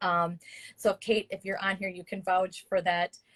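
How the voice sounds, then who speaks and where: A woman speaks at a fairly quick pace in a medium pitch, her voice somewhat breathy, with a dry, close sound and no echo. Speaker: spiritual coach. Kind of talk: live stream talk. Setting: live video stream.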